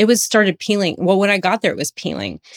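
Recorded with a dry, close sound with no echo, a woman with an American accent speaks at a very fast pace. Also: very clean recording, silent background. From USA. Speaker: functional medicine practitioner. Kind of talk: personal testimony in interview. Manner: animated.

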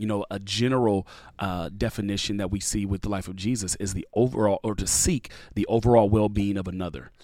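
A man with a normal speaking voice talks at a fairly quick pace with fairly even intonation, in a very clean recording with a silent background. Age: 30s. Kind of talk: casual interview.

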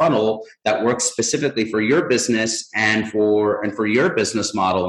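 A man speaks at a fairly low pitch with ordinary pitch variation over noticeable background noise. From Mexico. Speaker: marketing agency CEO. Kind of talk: interview.

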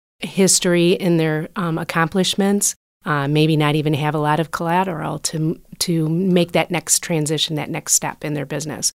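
A woman with an American accent, fairly low in pitch, at a moderate pace with fairly even intonation, dry and close with no echo. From Michigan, Port Huron. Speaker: bank executive. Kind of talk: interview. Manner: hesitant fillers.

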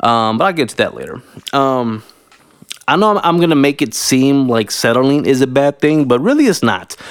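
An ordinary speaking voice from a man with an American accent, fairly high in pitch, at a moderate pace. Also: ordinary pitch variation. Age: 30s. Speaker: podcast host. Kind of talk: casual monologue. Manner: casual, filler-heavy.

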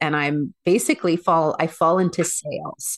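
Against a quiet background, a woman speaks at a moderate pace in a plain, everyday voice. Her pitch is fairly low. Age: 40s. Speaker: transformational coach and former professional dancer. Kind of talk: interview conversation.

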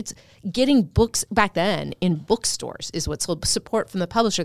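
A woman's unremarkable speaking voice at medium pitch, with lively intonation and a moderate pace, in a very clean, dry, close recording with no echo and a silent background. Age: 50s. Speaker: author and publisher. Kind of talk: casual interview chat.

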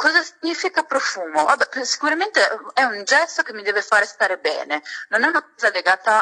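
With a Sicilian accent, a woman talks fairly quickly in a high, raised, projected voice with very wide pitch swings, recorded dry and close with no echo. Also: big swings in loudness. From Sicily, Catania. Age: 20s. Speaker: beauty and fragrance content creator. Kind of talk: casual chat. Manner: animated.

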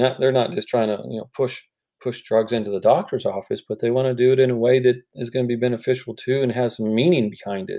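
A man's plain, everyday voice at a fairly quick pace, with fairly even intonation. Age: 50s. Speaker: healthcare entrepreneur, founder of a cancer art company. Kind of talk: interview.

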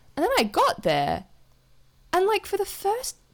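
Speaking at a fairly slow pace with an Australian accent, a woman is heard on a very clean recording against a silent background. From Australia, Adelaide. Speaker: theatre designer and illustrator. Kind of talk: casual chat.

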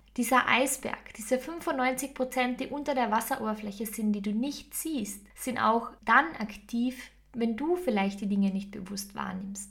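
A woman's fairly high voice at a fairly slow pace, over noticeable background noise. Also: ordinary pitch variation. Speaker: podcast host and meditation guide. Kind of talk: guided meditation.

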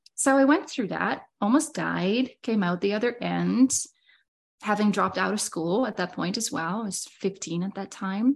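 A woman with a Dutch accent speaks at a moderate pace and medium pitch, with lively intonation and vocal fry, over a quiet background. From Netherlands. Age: 30s. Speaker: business mentor. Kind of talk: casual chat.

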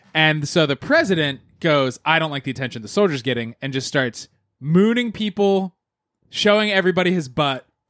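At a fairly quick pace, an ordinary speaking voice carries lively intonation in a dry, close sound with no echo. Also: man, fairly high pitch for a man. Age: 30s. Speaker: podcast host. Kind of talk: casual chat.

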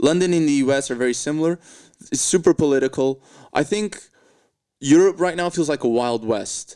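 A man's fairly high voice in a Portuguese accent, with ordinary pitch variation and long, frequent pauses, on a very clean recording with a silent background. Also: fairly quick pace. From Portugal. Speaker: comedian. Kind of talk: casual chat.

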